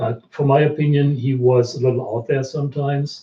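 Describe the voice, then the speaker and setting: A somewhat breathy male voice at a moderate pace. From Germany. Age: 60s. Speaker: researcher. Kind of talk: live stream Q&A.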